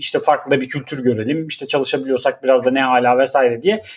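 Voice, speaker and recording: This man talks at a fairly quick pace in a fairly high pitch with ordinary pitch variation. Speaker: podcast co-host, father. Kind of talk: casual chat. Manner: animated.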